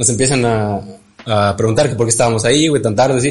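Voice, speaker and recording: This man has a Mexican accent and a medium pitch, and there is audible room echo around his voice. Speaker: podcast co-host. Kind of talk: casual chat.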